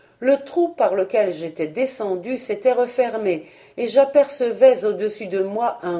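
An unforced voice reading a text

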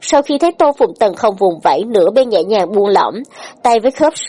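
The speaker gives a plain reading aloud with lively intonation.

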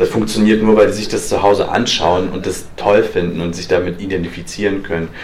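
The speech moves at a fairly quick pace with a monotone, flat intonation, and audible room echo surrounds it. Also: man, fairly low pitch for a man. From eastern Germany. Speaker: freelance journalist. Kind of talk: lecture. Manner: halting.

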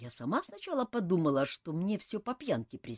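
Text in plain reading aloud

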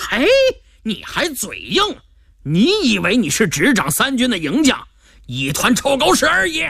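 A man does a loud put-on character voice at an extremely high pitch, bright and sharp in tone with a slightly husky edge, growling and vocal fry. The pace is fairly slow, and his pitch swings very wide.

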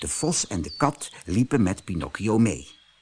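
With a fairly low pitch and a slightly husky edge, a man speaks with big pitch swings. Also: moderate pace.

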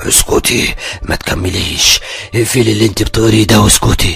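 Over faint background music, a man does a raspy, put-on character voice at a medium pitch and a moderate pace. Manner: commanding, menacing.

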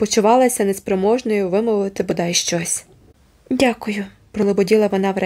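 Plain reading aloud is delivered with fairly even intonation.

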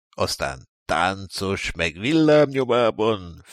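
Lively intonation from a natural reading voice, the background quiet

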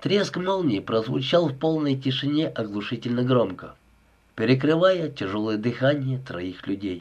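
Lively rises and falls in a natural reading voice

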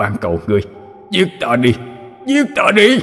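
A man performs a put-on character voice at a fairly high pitch. He speaks at a fairly slow pace, with clear background noise behind him. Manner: despairing, begging.

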